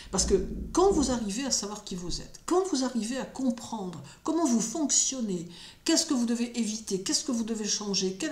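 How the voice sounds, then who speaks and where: Against noticeable background noise and audible room echo, a woman talks at a fairly high pitch. Her pitch swings very widely at a moderate pace. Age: 60s. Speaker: astrologer and spiritual commentator. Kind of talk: solo spoken commentary. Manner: hesitant with frequent fillers.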